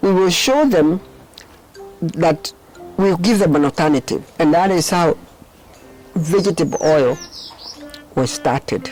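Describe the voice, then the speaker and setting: Music playing behind a voice of moderate pace and lively intonation. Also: woman. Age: 80s+. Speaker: counseling psychologist. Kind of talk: interview answer.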